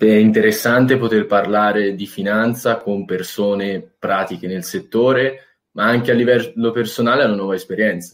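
A normal speaking voice from a man, fairly low-pitched with fairly even intonation, at a moderate pace on a very clean recording with a silent background. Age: 20s. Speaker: university student. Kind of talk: casual chat. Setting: livestream.

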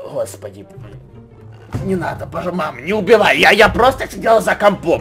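Fairly quick speech from a man over clear background music. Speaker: gaming video creator. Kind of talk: gameplay commentary. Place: home room. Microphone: studio mic.

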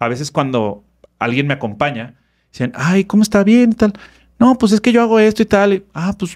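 The voice moves at a fairly quick pace with very wide pitch swings. The background is quiet. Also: man. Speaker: therapist and personal development speaker; speaker. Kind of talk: casual interview chat. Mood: reflective, earnest. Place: studio. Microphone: studio mic.

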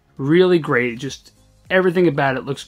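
A man's voice over faint music in the background. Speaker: channel host. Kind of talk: casual vlog chat. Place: home room.

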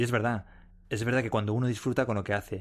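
On a very clean recording with total background silence, a man rattles off his words extremely fast. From Spain, Madrid. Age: 30s. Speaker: podcast host and corporate trainer. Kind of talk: podcast monologue. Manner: animated.

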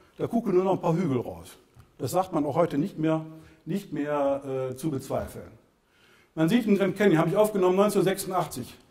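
Against a quiet background, a man with a high pitch and a dark, mellow tone speaks with ordinary pitch variation and long, frequent pauses. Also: moderate pace. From Germany, Lower Rhine / Bergisches Land (Solingen). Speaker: author and civil engineer giving a talk. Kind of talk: public lecture with slides. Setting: lecture hall with audience. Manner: halting, many fillers. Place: hall.

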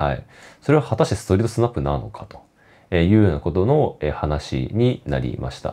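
With vocal fry and a very deep, low pitch, a man speaks at a fairly quick pace in a dark, mellow tone, his voice making very wide pitch swings and big swings in loudness. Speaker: photography vlogger. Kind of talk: casual monologue vlog. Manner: talkative, many fillers.

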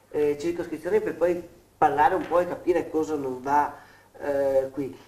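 A man talks at a moderate pace, and the room adds an audible echo. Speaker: TV show host. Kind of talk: TV interview discussion. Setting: studio. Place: studio. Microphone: lapel.

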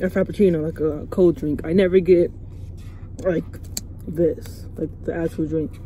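Against light background noise in a dry sound with no echo, a woman with an unremarkable speaking voice and a fairly low pitch talks at a fairly slow pace with fairly even intonation. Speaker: vlogger. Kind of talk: casual vlog chat. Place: car. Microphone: phone near.

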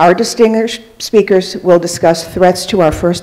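A woman speaks at a moderate pace in a fairly low voice, her intonation fairly even. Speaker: event moderator. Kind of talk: formal event introduction. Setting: live event with audience. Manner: formal. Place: hall. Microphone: podium.

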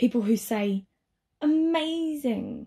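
A woman speaks with a dark, mellow tone that is somewhat breathy. Her pitch varies in an ordinary way. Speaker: voice actor. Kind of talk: TV commercial read.

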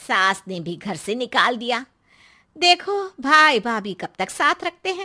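In a cartoonish character voice, a woman speaks with a fairly high pitch and a bright, sharp tone. Her pitch swings widely at a fairly slow pace.

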